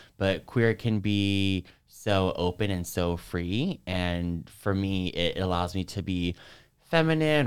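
A man with an American accent talks in a very deep, low pitch, the recording very clean with a silent background. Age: 20s. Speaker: social work student and dancer. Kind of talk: interview.

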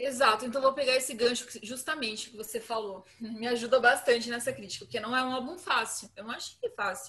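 A woman with a high pitch speaks at a fairly quick pace and fairly even intonation. Her loudness swings widely, and there is noticeable background noise. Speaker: guest music fan. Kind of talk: casual chat.

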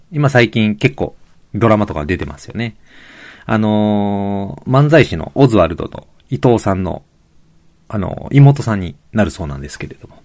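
A plain, everyday voice delivers lively intonation at a moderate pace with big swings in loudness. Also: man, fairly low pitch for a man. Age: middle-aged. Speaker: podcast host, physical therapist and amateur road cyclist. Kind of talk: solo podcast monologue. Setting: home room. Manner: polite, many filler words.

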